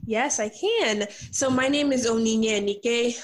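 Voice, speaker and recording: A woman with an American accent speaks in a fairly high pitch, an unremarkable speaking voice. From US, New York. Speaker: life and business coach. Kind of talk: interview.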